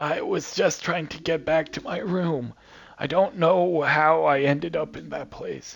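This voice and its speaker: In a put-on character voice, a raspy man speaks at a moderate pace with a fairly high pitch and big swings in loudness. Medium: game stream. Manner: cantankerous, grumbling.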